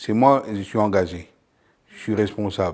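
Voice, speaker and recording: A man speaks with a fairly low pitch and fairly even intonation. His is a normal speaking voice. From abroad, came to France at 28. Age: 60s. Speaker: company founder, butcher. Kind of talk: interview testimony.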